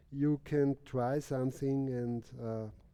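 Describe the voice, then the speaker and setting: Speaking at a very slow pace with a non-native accent, a man has a medium pitch, ordinary pitch variation and a dark, mellow tone. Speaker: artist and drawing teacher. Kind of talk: casual explanation. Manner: halting.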